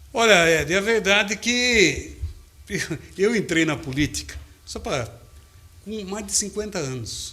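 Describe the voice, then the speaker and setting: A man uses a raised, projected voice, high in pitch with a bright, sharp tone and lively intonation. He talks at a very slow pace with long, frequent pauses and big swings in loudness. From Brazil, Limeira, São Paulo state. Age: 60s. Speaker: radio broadcaster and city council candidate. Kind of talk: interview.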